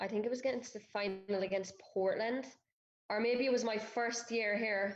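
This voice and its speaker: At a moderate pace, a woman speaks with an Irish accent and fairly even intonation. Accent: Irish accent, noticeable. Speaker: professional footballer. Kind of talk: interview.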